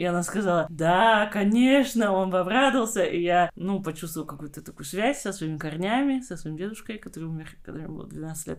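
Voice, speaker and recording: A woman's medium-pitched voice at a very fast pace, with ordinary pitch variation and noticeable background noise. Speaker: podcast host. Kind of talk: casual chat.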